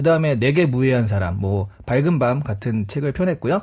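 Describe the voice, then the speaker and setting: On a very clean recording with a silent background, a man speaks in a dark, mellow, somewhat breathy tone with very wide pitch swings. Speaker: book youtuber, regular guest. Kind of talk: radio book talk. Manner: fast; animated.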